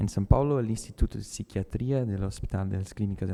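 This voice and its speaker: A man with a Brazilian accent talks at a fairly quick pace, with a fairly low pitch and fairly even intonation, while music plays in the background. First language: Portuguese (speaking Spanish). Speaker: neurologist. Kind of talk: conference talk. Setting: conference auditorium, hybrid event.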